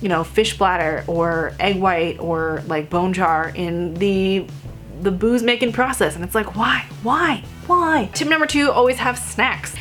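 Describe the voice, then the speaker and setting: A woman talks at a fairly slow pace with lively intonation while music plays in the background. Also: medium pitch for a woman. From Vietnamese heritage. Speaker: vegan food blogger. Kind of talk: casual talk to camera. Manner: loud.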